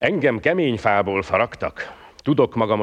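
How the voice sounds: Intonation rises and falls in a lively way. The delivery is a natural reading voice.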